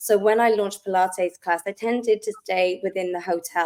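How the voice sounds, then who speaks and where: Using a Welsh accent, a woman talks at medium pitch and a moderate pace with fairly even intonation. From Wales, South Wales. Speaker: wellness company founder, Pilates instructor. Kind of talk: podcast interview.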